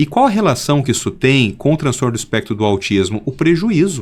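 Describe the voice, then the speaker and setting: A man talks in an ordinary speaking voice at a moderate pace, with lively intonation. The recording is very clean, with a silent background. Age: 50s. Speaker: pediatric neurologist. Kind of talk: interview.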